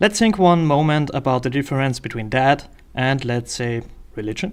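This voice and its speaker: A man with a German accent speaks at a medium pitch and moderate pace with ordinary pitch variation, recorded very cleanly against a silent background. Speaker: political commentator. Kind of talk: video essay monologue. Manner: hesitant with frequent fillers.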